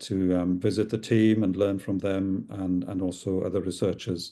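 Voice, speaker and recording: Here is a man with a Welsh accent and a fairly low pitch. His tone is dark and mellow, and the background is quiet. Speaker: psychiatrist and clinical researcher. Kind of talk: lecture. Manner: hesitant, many fillers.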